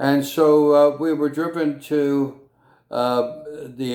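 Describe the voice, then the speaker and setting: At a very slow pace, a man with a fairly high pitch and a dark, mellow tone speaks with fairly even intonation. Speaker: musician. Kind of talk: storytelling monologue. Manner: hesitant, many fillers.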